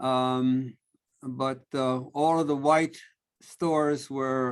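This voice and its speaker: A man speaks at a very slow pace in a New York accent. His intonation is monotone and flat. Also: very clean recording, silent background. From New York City (Harlem, South Bronx), Puerto Rican family. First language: Spanish. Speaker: family therapist. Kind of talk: lecture. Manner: halting, many fillers.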